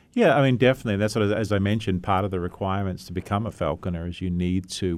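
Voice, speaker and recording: With an Australian accent, a man speaks at a very fast pace with fairly even intonation. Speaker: veterinarian, zoological medicine specialist. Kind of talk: radio interview. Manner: halting.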